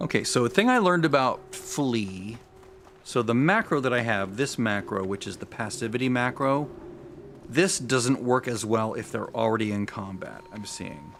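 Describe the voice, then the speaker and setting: The speech moves at a moderate pace with lively intonation. Noticeable background noise runs underneath. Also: man, medium pitch for a man. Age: 60s. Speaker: gaming streamer. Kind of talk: live gameplay commentary. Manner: casual, halting with self-corrections.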